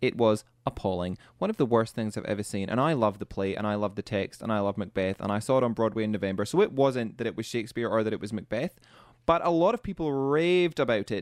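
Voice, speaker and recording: A man with a Scottish accent, medium pitch, lively intonation and a very fast pace. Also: dry, close sound with no echo, quiet background. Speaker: radio co-host. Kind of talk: casual radio chat.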